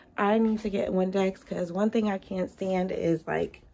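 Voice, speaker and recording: A woman at medium pitch, fairly slow, with noticeable background noise. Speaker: salon and lash suite owner vlogger. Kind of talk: casual vlog. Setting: in a car, then studio.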